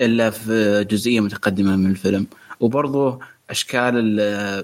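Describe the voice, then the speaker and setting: A man speaking at a very slow pace. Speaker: co-host, movie discussant. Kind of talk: casual chat.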